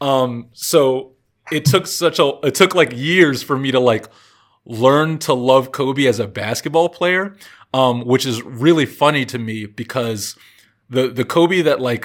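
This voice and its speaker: A man with an ordinary speaking voice and an American accent, medium pitch, ordinary pitch variation, and a fairly slow pace, on a very clean recording with a silent background. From Virginia. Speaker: basketball podcast host. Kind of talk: casual chat.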